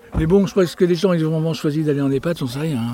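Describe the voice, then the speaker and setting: A man is heard over noticeable background noise. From Maine-et-Loire, western France. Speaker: retired tenant of shared housing. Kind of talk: documentary interview. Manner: halting, repeats words.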